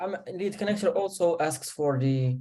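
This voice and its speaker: A man's dark, mellow voice with a non-native accent, lively intonation and a moderate pace. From Morocco. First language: not English. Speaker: marketing agency beginner. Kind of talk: Q&A call. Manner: halting.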